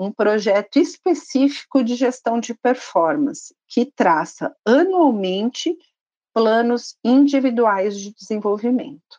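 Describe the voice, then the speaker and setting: Very slow and lively in intonation, the dark, mellow voice makes big swings in loudness, with a dry, close sound and no echo. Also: woman, high pitch for a woman. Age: 50s. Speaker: pharmaceutical sales training manager. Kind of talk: corporate podcast interview.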